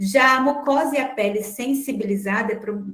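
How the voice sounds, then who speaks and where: Her voice is high for a woman. She speaks at a fairly slow pace. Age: 50s. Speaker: nutrition teacher. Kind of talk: online class.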